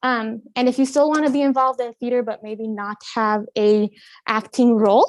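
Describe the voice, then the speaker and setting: Recorded very cleanly with a silent background and a dry, close sound with no echo, a high-pitched woman speaks with a Spanish accent at a moderate pace and with ordinary pitch variation. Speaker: college admissions counselor. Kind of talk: live campus tour. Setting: walking tour on campus, live stream. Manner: casual, with many fillers.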